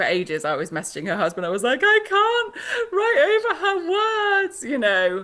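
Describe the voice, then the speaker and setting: Noticeable background noise runs beneath a woman speaking with a British accent. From Britain. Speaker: author. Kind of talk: interview. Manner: halting.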